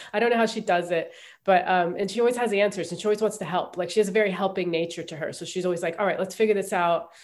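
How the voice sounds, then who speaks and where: A very fast delivery in a Midwestern accent with fairly even intonation, on a very clean recording with a silent background. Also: woman, medium pitch for a woman. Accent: American Midwestern. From US Midwest, Ohio. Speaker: comedian. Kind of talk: interview.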